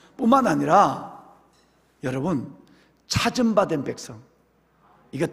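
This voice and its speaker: Audible room echo surrounds a man whose pitch swings very widely as he talks at a moderate pace. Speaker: pastor. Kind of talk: sermon. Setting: church. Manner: animated.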